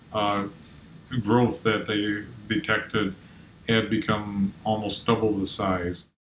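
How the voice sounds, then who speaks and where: Over light background noise and audible room echo, a man speaks very slowly in a monotone, flat delivery at a fairly low pitch. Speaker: interviewee. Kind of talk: interview answer. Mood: calm, matter-of-fact. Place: home room.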